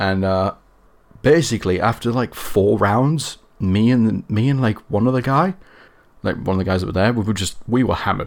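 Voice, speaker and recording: A man with a northern English accent and a fairly low pitch. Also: ordinary pitch variation, moderate pace. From northern England. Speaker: guest. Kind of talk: casual chat.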